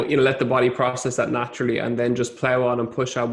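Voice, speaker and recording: A man speaks very fast with an Irish accent, his pitch medium and his intonation monotone and flat. Noticeable background noise runs behind him. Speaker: podcast host. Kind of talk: podcast interview questions.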